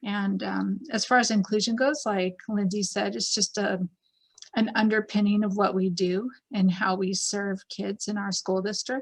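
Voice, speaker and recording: At a moderate pace, a woman with a somewhat breathy, medium-pitched voice keeps her intonation fairly even. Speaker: school district administrator. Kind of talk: virtual open house panel talk.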